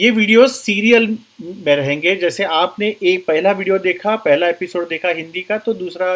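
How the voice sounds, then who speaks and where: A man with a Marathi accent speaks at a high pitch. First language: Marathi (speaking Hindi). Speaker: doctor and therapy teacher. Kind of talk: online course lecture. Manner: halting, with many fillers.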